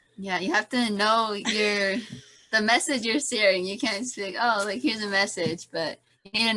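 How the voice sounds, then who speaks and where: A woman speaks at a moderate pace with a medium pitch and ordinary pitch variation. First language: not English. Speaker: missionary student. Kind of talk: class discussion.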